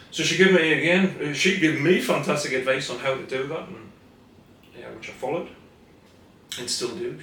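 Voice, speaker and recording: A man with a Scottish accent at a fairly high pitch, fairly quick pace with long, frequent pauses, ordinary pitch variation and big swings in loudness, plus audible room echo and noticeable background noise. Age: 60s. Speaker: therapist. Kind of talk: casual interview.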